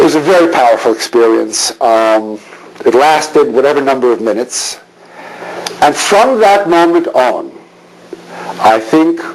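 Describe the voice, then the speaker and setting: There is noticeable background noise behind a man speaking with a Canadian accent. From Montreal, Canada. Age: 60s. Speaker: rabbi. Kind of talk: lecture. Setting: synagogue hall with audience.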